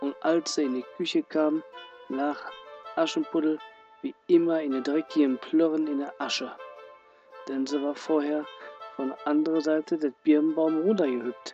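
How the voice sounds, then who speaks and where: Long, frequent pauses break up speech at a moderate pace, with music playing in the background. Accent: Ruhr. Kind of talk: fairy tale reading.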